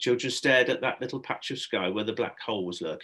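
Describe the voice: Someone reads aloud plainly. Ordinary pitch variation shows in the delivery.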